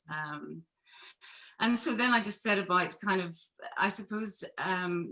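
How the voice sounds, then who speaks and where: With a Belfast accent, a woman speaks fairly slowly at a medium pitch in a bright, sharp tone, using ordinary pitch variation and long, frequent pauses. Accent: Belfast Northern Irish. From Northern Ireland, Belfast. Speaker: photographer. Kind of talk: panel discussion.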